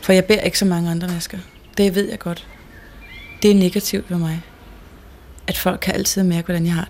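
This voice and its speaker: Against noticeable background noise, the speaker talks at a moderate pace in a flat monotone, with big swings in loudness and long, frequent pauses. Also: woman, medium pitch for a woman. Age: 20s. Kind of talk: interview testimony.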